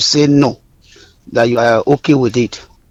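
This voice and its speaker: A man talks at a fairly quick pace, with noticeable background noise present. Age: 30s. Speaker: caller. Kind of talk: phone-in comment. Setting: phone call.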